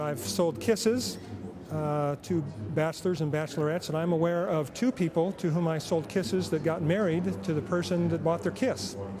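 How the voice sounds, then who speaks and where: Over noticeable background noise, a man with a fairly high pitch speaks at a moderate pace with very wide pitch swings. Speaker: professional charity auctioneer. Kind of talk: interview answer, casual conversational talk about his career.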